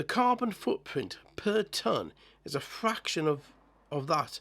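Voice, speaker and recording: Fairly slow speech from a man, the pitch swinging very widely. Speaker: model-building channel host. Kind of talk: scripted narration. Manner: halting, with repeated words.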